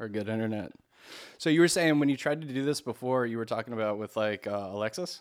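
A man with an American accent at very fast pace, medium pitch and lively intonation, on a very clean recording with a silent background. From Maryland. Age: 30s. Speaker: podcast host. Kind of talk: casual chat.

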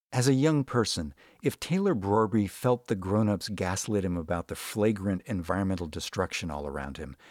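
The very clean recording, with a silent background, holds a man's fairly low, plain, everyday voice at a moderate pace. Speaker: radio host. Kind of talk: scripted narration.

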